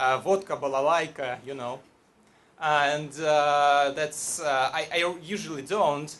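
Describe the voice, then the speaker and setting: A man with a Russian accent speaks at a very slow pace. His fairly high voice keeps a fairly even intonation. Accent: Russian accent, non-native English. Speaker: storyteller at live event. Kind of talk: live storytelling to audience. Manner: halting, many fillers.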